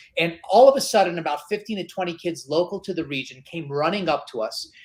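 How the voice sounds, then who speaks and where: Loud and animated, a man talks very fast at a high pitch with ordinary pitch variation over noticeable background noise. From Middle East, Greek family. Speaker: e-learning company co-founder. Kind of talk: podcast interview.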